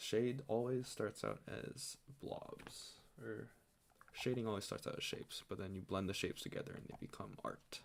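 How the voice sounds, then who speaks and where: Soft-spoken and unhurried, a man talks at a moderate pace. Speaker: streamer. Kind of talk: casual chat. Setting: home at night.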